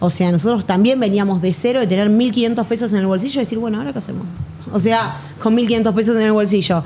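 The woman talks at a very fast pace. Noticeable background noise sits behind her. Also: medium pitch for a woman, ordinary pitch variation. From Buenos Aires, Argentina. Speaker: affiliate marketer and entrepreneur. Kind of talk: interview. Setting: studio in Medellín.

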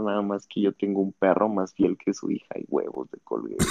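An unremarkable speaking voice from a man, fairly low in pitch, at a moderate pace. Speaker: podcast guest. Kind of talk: casual chat.

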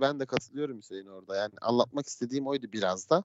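Talking at a very fast pace, a man makes very wide pitch swings. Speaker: podcast host. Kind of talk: casual chat. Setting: live stream from home. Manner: fast, energetic radio-style opening. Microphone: headphones, self-described poor sound.

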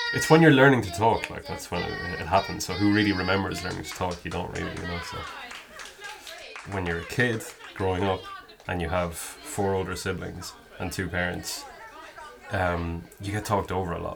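A man with a very deep, low voice speaks at a moderate pace, with ordinary pitch variation and big swings in loudness. Long, frequent pauses break up his speech, and there is noticeable background noise along with audible room echo. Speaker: person who stammers, interviewee. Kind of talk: personal interview. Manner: stammers.

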